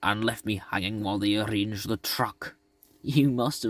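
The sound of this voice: The speaker reads in an unforced reading voice.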